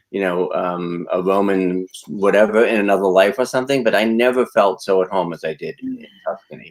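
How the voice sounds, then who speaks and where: A man with an American accent talks in an ordinary speaking voice at a moderate pace. His intonation is fairly even, with hardly any pauses. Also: fairly low pitch for a man. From Massachusetts (Medford, Boston area). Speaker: branding coach and retreat host. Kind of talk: casual live stream chat.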